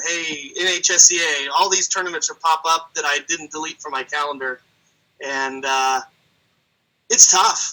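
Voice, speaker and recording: A man's fairly high voice at a moderate pace, with fairly even intonation, long, frequent pauses and big swings in loudness. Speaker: wrestling announcer and teacher. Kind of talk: interview answer.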